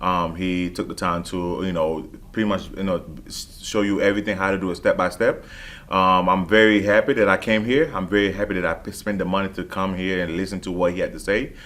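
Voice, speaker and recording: Speaking with a Haitian accent, a man with a very deep, low pitch talks at a fairly quick pace with fairly even intonation in a very clean recording over a silent background. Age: 20s. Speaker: transportation business owner. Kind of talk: testimonial. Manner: halting, many fillers.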